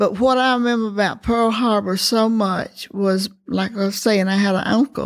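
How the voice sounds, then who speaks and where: The speaker uses a Southern US accent at a moderate pace with fairly even intonation. Loudness stays very even in a very clean recording with a silent background. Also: woman, medium pitch for a woman. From US South, rural Alabama. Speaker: elder sharing life story. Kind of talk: oral history interview. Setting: senior living facility.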